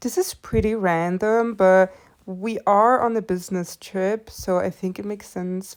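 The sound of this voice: Reading done in an unforced voice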